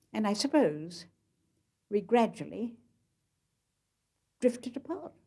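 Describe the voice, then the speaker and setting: A woman's fairly high, somewhat breathy voice with a dark, mellow tone, very wide pitch swings, a fairly slow pace and long, frequent pauses. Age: 80s+. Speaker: author. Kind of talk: documentary interview recollection.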